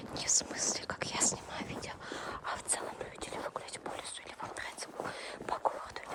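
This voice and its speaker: Whispering at a fairly quick pace over noticeable background noise. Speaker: ASMR vlogger. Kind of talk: walking vlog. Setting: outdoors. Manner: calm.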